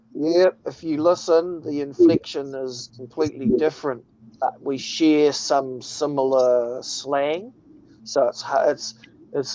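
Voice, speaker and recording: Speaking with a New Zealand accent, a man uses a fairly high pitch and ordinary pitch variation at a very slow pace. Noticeable background noise runs underneath. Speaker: livestream host. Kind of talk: casual chat. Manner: casual, profane.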